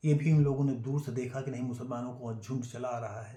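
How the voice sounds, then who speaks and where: Somewhat breathy and dark, mellow in tone, the man's medium-pitched voice stays monotone and flat. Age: 70s. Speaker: YouTuber telling family history. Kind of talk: storytelling monologue. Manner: halting, many fillers.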